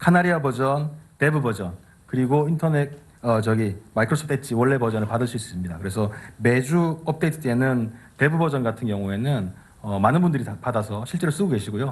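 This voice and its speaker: A man talks at a very fast pace with lively intonation and a medium pitch. His voice is somewhat breathy, and the background is quiet. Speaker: tech evangelist. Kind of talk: keynote presentation. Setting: stage with audience.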